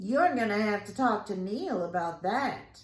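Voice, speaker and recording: A woman does a put-on character voice at a medium pitch. Her pace is moderate. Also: lively intonation. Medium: read story. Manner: drawling, casual.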